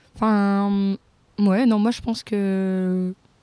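Recorded with a dry, close sound and no echo, a woman of medium pitch speaks in a dark, mellow tone with fairly even intonation. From France. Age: 20s. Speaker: social worker, humanitarian volunteer. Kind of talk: casual interview. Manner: halting.

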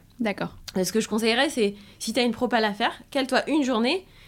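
The voice is a woman's. She talks very fast. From France. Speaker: sales entrepreneur. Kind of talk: interview.

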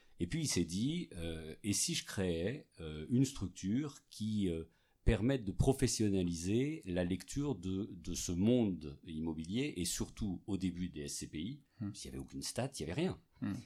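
This voice has a dark, mellow tone, moves at a fairly slow pace, and swings very widely in pitch. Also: man, very deep, low pitch for a man. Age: 50s. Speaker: real estate executive. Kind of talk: interview. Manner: halting, many repetitions and fillers.

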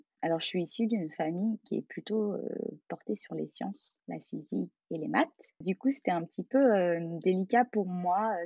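An unremarkable speaking voice with lively intonation, delivered at a moderate pace. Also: woman, medium pitch for a woman. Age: 30s. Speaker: calligrapher, former primary school teacher. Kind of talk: interview conversation.

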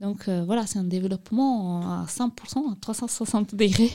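A woman speaks at a fairly slow pace with fairly even intonation and a medium pitch. Her voice is somewhat breathy, with a dark, mellow tone. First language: not French (speaking French). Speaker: youth outreach coordinator at association. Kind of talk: studio interview, informative explanation.

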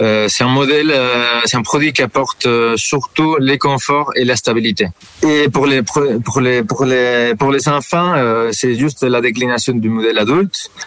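Noticeable background noise runs under a man speaking with a Spanish accent at a medium pitch. His pace is fairly slow and his loudness very even. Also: ordinary pitch variation. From Spain. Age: 40s. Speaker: product manager. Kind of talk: interview. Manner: halting.

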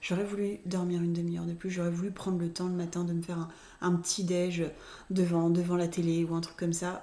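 A woman talks at a fairly quick pace with a fairly low pitch. Her tone is dark and mellow, her intonation monotone and flat. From Reims, France. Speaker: podcast co-host, communication consultant. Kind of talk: casual chat. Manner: hesitant, many fillers.

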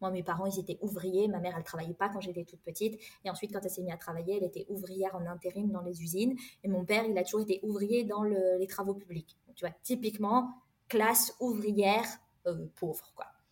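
A woman's medium-pitched, somewhat breathy voice at a fairly quick pace, with fairly even intonation. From France. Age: 30s. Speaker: engineer and career coach. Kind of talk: interview.

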